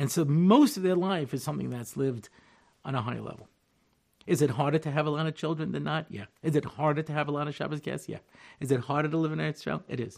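A man with an American accent at a very fast pace and fairly high pitch, with ordinary pitch variation, on a very clean recording with a silent background. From Long Island, New York. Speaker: rabbi. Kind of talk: lecture.

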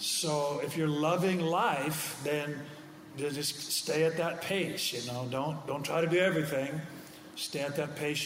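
A man talks at a fairly slow pace in a fairly high pitch. Noticeable background noise sits behind him. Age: 60s. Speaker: pastor. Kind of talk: casual chat.

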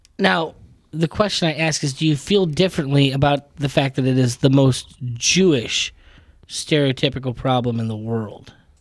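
A man speaks at a moderate pace in an ordinary speaking voice, his fairly high pitch moving with ordinary pitch variation. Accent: American. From New York. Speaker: podcast guest. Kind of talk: casual chat.

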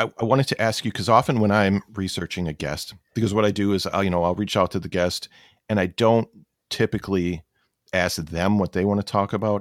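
A normal speaking voice from a man, fairly low in pitch, with fairly even intonation, a fairly quick pace, and a dry, close sound with no echo. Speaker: pathologist assistant and podcast host. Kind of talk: casual chat, podcast interview.

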